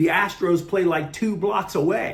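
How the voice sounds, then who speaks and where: A man talks with a high pitch. Audible room echo surrounds his voice. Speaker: sports channel host. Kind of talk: sports commentary monologue.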